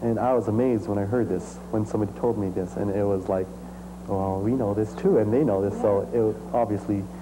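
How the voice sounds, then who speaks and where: Over noticeable background noise, a man with fairly low pitch speaks at a very fast pace. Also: ordinary pitch variation. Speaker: musician and dancer. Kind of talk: interview. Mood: enthusiastic, smiling. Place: home room. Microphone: lapel.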